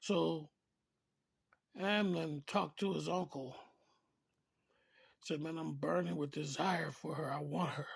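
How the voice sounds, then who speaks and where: The voice is somewhat breathy, with ordinary pitch variation. It moves at a fairly slow pace with long, frequent pauses. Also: man, fairly high pitch for a man. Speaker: preacher. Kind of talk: informal sermon. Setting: early morning recording. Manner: casual, conversational.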